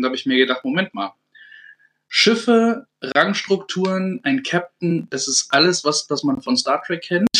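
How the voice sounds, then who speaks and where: Lively intonation runs through this man's speech, which moves at a moderate pace. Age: 30s. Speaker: navy petty officer. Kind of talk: casual chat. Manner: hesitant, many fillers.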